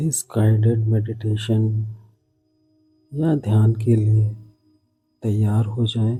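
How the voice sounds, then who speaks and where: A soft-spoken man at a medium pitch, with monotone, flat intonation and long, frequent pauses. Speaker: yoga teacher, meditation guide. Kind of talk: guided sleep meditation. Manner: whispered; soft, gentle, slow.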